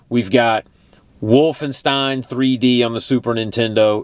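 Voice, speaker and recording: A man with a Texan accent speaks at a fairly slow pace with fairly even intonation. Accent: Texan, noticeable. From Texas. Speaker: retro gaming YouTuber. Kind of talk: casual vlog monologue. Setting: travelling in Oregon. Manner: casual, filler-heavy.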